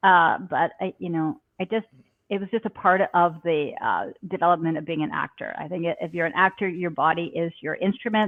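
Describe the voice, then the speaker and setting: Using a plain, everyday voice, a woman speaks at a fairly quick pace with ordinary pitch variation. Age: 60s. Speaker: actress and yoga teacher. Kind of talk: interview.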